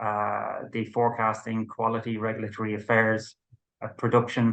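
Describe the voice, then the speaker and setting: A moderate pace in an Irish accent. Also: man. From Ireland. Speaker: company co-founder and managing director. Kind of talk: business interview. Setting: video interview.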